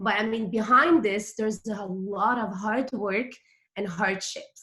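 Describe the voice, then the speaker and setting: A woman's medium-pitched voice with a French accent, very slow, with ordinary pitch variation. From Quebec, Montreal. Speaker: direct sales consultant. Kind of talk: motivational talk. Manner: casual, filler-heavy.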